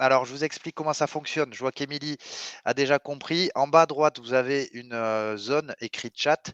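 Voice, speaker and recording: Speaking at a moderate pace with an enthusiastic tone, a man with a Toulouse accent has a fairly high voice and ordinary pitch variation, recorded with a dry, close sound, no echo and a quiet background. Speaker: webinar host, sales company representative. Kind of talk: webinar presentation. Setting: online webinar. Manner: enthusiastic, hesitant with frequent euh.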